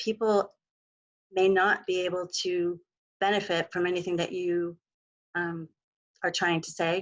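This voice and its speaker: A soft-spoken woman at a medium pitch and fairly slow pace, over a quiet background. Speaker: mental health clinician. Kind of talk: webinar presentation.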